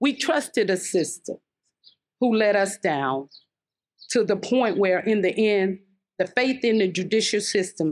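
A woman with an American accent and a medium pitch talks at a fairly slow pace. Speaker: murder victim's mother. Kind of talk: speech. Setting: outdoors.

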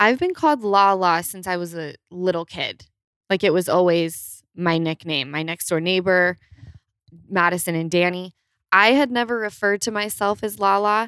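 A woman with a Utah accent and ordinary pitch variation is heard on a very clean recording with a silent background and a dry, close sound with no echo. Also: medium pitch for a woman, moderate pace. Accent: Utah twang, noticeable. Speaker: guest. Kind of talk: casual chat.

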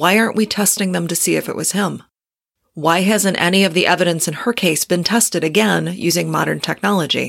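A woman with an American accent talks at a fairly quick pace in a fairly low pitch, her intonation fairly even and her voice showing vocal fry. The recording is very clean, with a silent background. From Detroit area, Michigan. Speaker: true crime podcaster. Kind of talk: casual interview.

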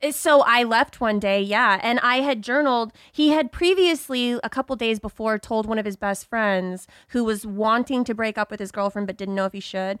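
A woman's fairly high voice, a normal speaking voice, at a moderate pace with hardly any pauses and ordinary pitch variation, on a very clean, silent-background recording with dry, close sound and no echo. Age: 30s. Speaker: podcast host. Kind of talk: casual chat; scripted intro.

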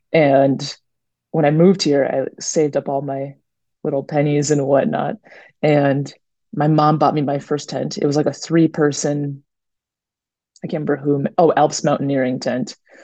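A woman with an American accent, very deep, low pitch, a moderate pace and long, frequent pauses, in a quiet background. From US Midwest, Minneapolis-Saint Paul suburbs. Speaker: long-distance winter hiker. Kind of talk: interview.

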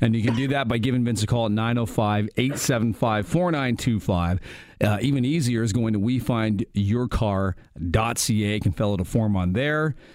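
A man with an unremarkable speaking voice talks at a moderate pace. His loudness stays very even. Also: medium pitch for a man, ordinary pitch variation. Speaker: radio host. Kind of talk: live radio talk show. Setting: radio studio.

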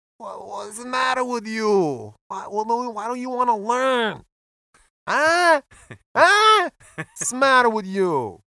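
Using a put-on character voice with a strong Italian accent, the speaker talks at a fairly high pitch and a very slow pace with long, frequent pauses. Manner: scolding.

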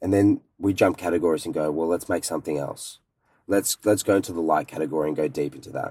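A man with an Australian accent, very deep and low in pitch, dark and mellow in tone, at a very fast pace on a very clean recording with a silent background. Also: ordinary pitch variation. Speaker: luggage company co-founder. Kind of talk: interview. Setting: in a car.

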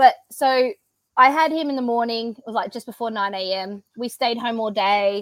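A woman speaks in an Australian accent. Her pace is fairly quick and her pitch fairly high. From Australia (Brisbane, Queensland). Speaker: CrossFit athlete and business owner. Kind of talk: casual interview chat. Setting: video call from home.

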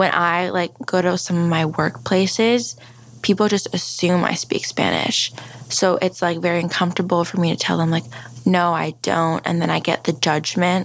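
A woman with an American accent and a fairly low pitch speaks at a moderate pace with ordinary pitch variation and very even loudness, over noticeable background noise. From Maryland, US. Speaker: Guatemalan adoptee. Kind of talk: interview.

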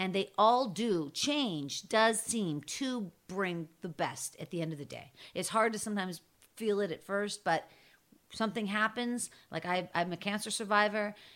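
A woman with an American accent speaks at a medium pitch and moderate pace in a normal speaking voice, with ordinary pitch variation, in a very clean recording with a silent background. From Pittsburgh, Pennsylvania. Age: 50s. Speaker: podcaster and storyteller. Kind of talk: casual chat.

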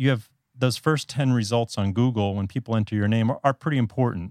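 With an American accent, a man speaks at a very fast pace and medium pitch, with ordinary pitch variation, on a very clean recording with a silent background. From US South, South Florida. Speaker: podcast guest, communications professional and writing blogger. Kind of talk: casual interview.

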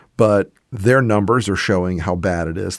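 With lively intonation and an American accent, a man talks at a moderate pace in an ordinary speaking voice. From US South. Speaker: political commentator. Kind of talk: casual political discussion.

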